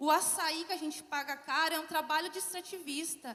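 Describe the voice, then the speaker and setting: A woman with an extremely high pitch speaks at a moderate pace, her pitch varying in an ordinary way. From southern Brazil, Porto Alegre. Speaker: social enterprise founder. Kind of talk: conference panel talk.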